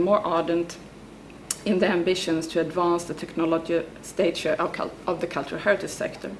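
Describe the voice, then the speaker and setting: A woman's fairly low voice at a fairly quick pace, with audible room echo and noticeable background noise. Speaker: academic researcher. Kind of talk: conference talk read from paper. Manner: halting with fillers.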